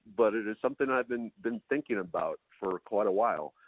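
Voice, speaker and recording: Delivered at a moderate pace, the speech carries an American accent. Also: man. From Minnesota. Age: 50s. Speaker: foraging and wild plant teacher. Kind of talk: podcast interview.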